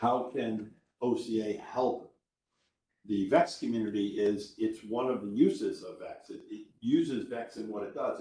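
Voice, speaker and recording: A man speaks with audible room echo. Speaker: conference speaker. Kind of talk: conference talk with Q&A. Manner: fast.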